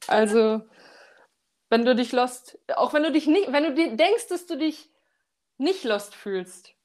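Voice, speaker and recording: A woman's high voice at a very slow pace, with very wide pitch swings and long, frequent pauses, on a very clean recording with a silent background. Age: 20s. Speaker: architect, coaching client. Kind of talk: casual interview, personal testimony. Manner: halting, many fillers.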